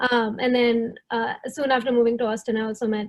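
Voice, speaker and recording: This woman's voice sits fairly high in pitch. Her intonation is monotone and flat. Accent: Tamil. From southern India. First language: Tamil. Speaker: product manager. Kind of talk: panel discussion.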